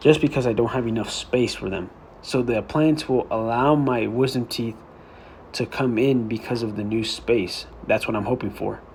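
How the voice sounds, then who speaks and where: At a moderate pace, a somewhat breathy man speaks in a medium pitch with fairly even intonation. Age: adult. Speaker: vlogger documenting medical treatment. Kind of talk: casual explanatory vlog.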